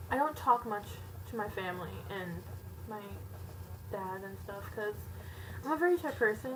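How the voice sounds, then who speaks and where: A quiet woman at a moderate pace, with ordinary pitch variation and noticeable background noise. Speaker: video blogger. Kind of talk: casual chat.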